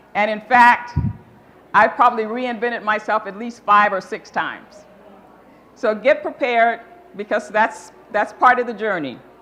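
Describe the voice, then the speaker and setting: At a fairly slow pace, a woman speaks in a fairly high voice with ordinary pitch variation. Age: 60s. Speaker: motivational speaker, nonprofit founder. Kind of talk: keynote talk.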